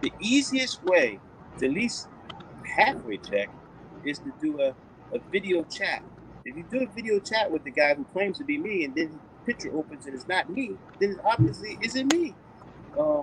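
A man with a high pitch speaks at a moderate pace with long, frequent pauses. The sound is dry with no echo, and background noise is noticeable. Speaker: remote guest. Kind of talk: interview answer. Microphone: video call.

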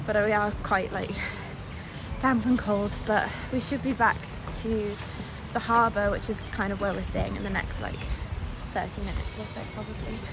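A woman at a moderate pace with long, frequent pauses, dry sound with no echo, and noticeable background noise. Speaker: travel vlogger. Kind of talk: casual vlog chat. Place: street. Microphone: phone near.

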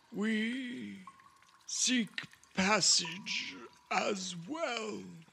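A man uses a put-on character voice pitched high. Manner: formal, stilted, wary.

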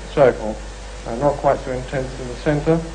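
Light background noise sits under a man's voice. His intonation is fairly even. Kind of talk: interview answer. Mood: calm, measured. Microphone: old recording.

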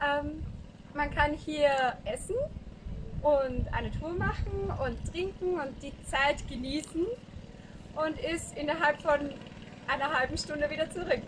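Against noticeable background noise, a woman with a high voice talks at a very slow pace, with long, frequent pauses and ordinary pitch variation. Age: 20s. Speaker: volunteer teacher; volunteer guide. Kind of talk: video diary. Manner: casual, with hesitations. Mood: friendly, cheerful.

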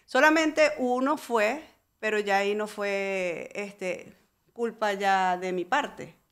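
A woman speaks very slowly, her fairly high voice carrying lively intonation. The recording is very clean, with a silent background. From Venezuela. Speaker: real estate broker. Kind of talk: interview.

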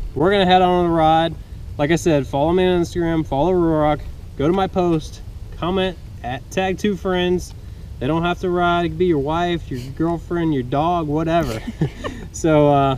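A man with a high pitch talks at a moderate pace and fairly even intonation. Light background noise can be heard. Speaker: motorcycle vlogger. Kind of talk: casual vlog chat. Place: open country. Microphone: phone near.

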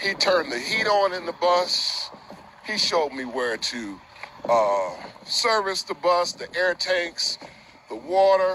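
The speech moves at a very slow pace, with light background noise. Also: man, high pitch for a man. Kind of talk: casual vlog chat. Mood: grateful, upbeat. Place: street. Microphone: phone near.

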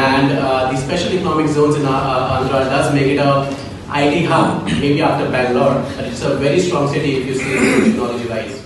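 With strong room echo and noticeable background noise, a woman speaks at a very deep, low pitch, a fairly quick pace and fairly even intonation. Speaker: event moderator. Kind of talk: formal event introduction. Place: meeting room. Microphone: camera far.

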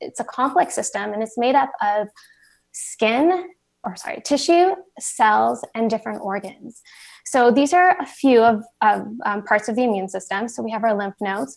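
Against a quiet background, a woman speaks at a moderate pace with very wide pitch swings. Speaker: presenter. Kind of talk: lecture. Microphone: video call.

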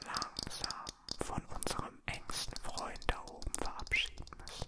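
The voice is a man's. He speaks in a whisper. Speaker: ASMR creator. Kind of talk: ASMR whisper in German. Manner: soft-spoken, whispered. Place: home room. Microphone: handheld.

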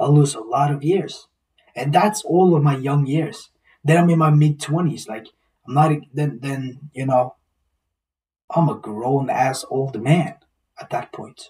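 A man talks fairly slowly at medium pitch with ordinary pitch variation. His voice has a dark, mellow tone and a husky, rough edge.

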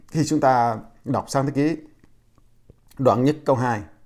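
A man talks in a dark, mellow tone. The background stays quiet. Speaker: preacher. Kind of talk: sermon. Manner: slow. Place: home room. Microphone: lapel.

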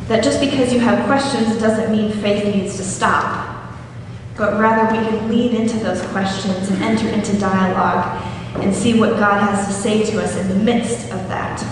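Amid noticeable background noise and strong room echo, a woman speaks at a moderate pace in monotone, flat intonation. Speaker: preacher. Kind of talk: sermon. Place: church.

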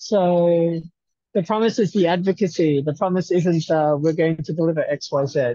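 With an Australian accent, a man speaks at a moderate pace in a high pitch with ordinary pitch variation, his dry sound carrying no echo over a quiet background. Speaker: research institute staff; presenter. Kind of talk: video call meeting. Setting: video call from a university campus. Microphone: video call.

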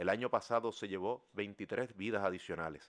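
Fairly low male voice with fairly even intonation over a quiet background. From Puerto Rico. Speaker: lawyer and human rights advocate. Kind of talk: formal testimony at a hearing. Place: hall. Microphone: podium.

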